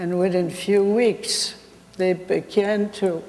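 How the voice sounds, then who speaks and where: In a Polish accent, the speaker talks at a very slow pace. The intonation is monotone and flat. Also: woman. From Poland. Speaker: Holocaust survivor. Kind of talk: testimony.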